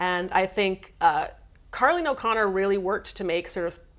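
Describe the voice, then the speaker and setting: An ordinary speaking voice from a woman, medium in pitch with ordinary pitch variation, in a very clean recording with a silent background. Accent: Canadian. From Canada. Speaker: game studio writer. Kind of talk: live stream chat. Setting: live stream.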